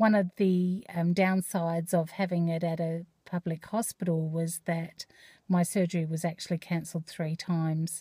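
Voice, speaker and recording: On a very clean recording with a silent background, a woman with an Australian accent speaks at a moderate pace and fairly low pitch in a dark, mellow, somewhat breathy tone with monotone, flat intonation. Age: 50s. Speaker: vlogger. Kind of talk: personal vlog. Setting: in a car. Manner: hesitant, many fillers.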